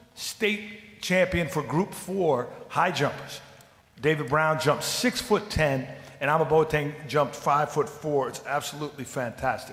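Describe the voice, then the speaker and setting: A man speaks in a fairly high voice. Noticeable background noise runs behind him. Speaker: public commenter at school board meeting. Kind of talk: public comment speech. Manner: fast; enthusiastic.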